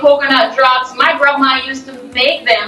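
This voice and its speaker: Over music in the background, a woman with a Jamaican accent speaks in a raised, projected voice. Her pitch is high and her pace fairly slow. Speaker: pastry chef. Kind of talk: TV news interview answer. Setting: remote video call.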